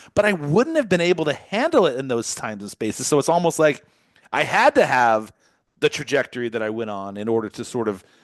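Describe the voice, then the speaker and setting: A man races along at a very fast pace, his fairly high pitch making very wide swings. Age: 50s. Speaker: podcast host. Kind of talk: interview.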